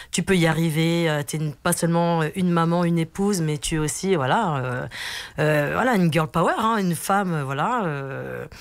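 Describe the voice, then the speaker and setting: A woman is speaking. Her pitch is fairly low and varies in an ordinary way. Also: moderate pace. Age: 40s. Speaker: team leader and wellness event organiser. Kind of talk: radio interview. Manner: hesitant, many fillers.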